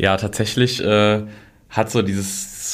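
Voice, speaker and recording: A man's voice, fairly low in pitch. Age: 20s. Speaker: social media manager. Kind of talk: interview. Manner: hesitant, many filler sounds.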